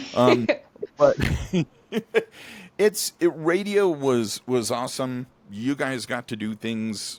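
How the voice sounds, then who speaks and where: A man speaks at a fairly slow pace with ordinary pitch variation. The very clean recording has a silent background and a dry, close sound with no echo. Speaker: podcast host, former radio DJ. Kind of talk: casual chat. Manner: halting; soft-spoken.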